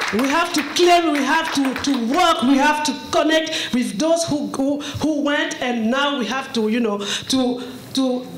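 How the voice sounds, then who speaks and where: A woman talks in a high pitch at a fairly slow pace, with ordinary pitch variation. Noticeable background noise and audible room echo surround her voice. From Cameroon. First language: French. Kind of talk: testimony. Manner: halting.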